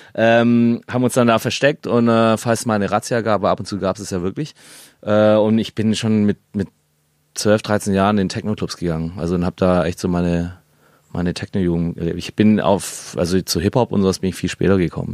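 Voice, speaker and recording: A man with an ordinary speaking voice, fairly low in pitch, at a fairly quick pace with ordinary pitch variation, in a very clean recording with a silent background and a dry, close sound with no echo. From Stuttgart, southwest Germany. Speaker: electronic music producer and label owner. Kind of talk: casual interview. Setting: studio.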